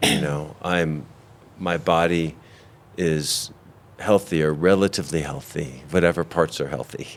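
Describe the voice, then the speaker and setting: Very deep and low, a man's voice moves at a moderate pace with fairly even intonation. Noticeable background noise runs underneath. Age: 60s. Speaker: physician and institute founder. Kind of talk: interview. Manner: halting.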